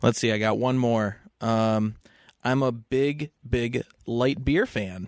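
In a Western New York accent, a man of medium pitch talks at a very slow pace with fairly even intonation and very even loudness. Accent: Western New York (Inland North) American. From US Northeast (Western New York). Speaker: podcast guest, friend of host. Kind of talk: casual chat.

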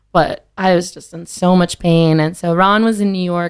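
A woman speaks at a moderate pace with a fairly low pitch. Her intonation stays fairly even. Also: quiet background. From Wisconsin. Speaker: mezcal brand director. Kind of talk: casual chat. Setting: studio.

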